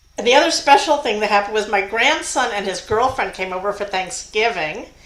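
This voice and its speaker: A woman speaks fairly quickly with a fairly high pitch and lively intonation. Background noise is noticeable, and room echo is audible. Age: 70s. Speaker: geocacher. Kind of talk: casual chat.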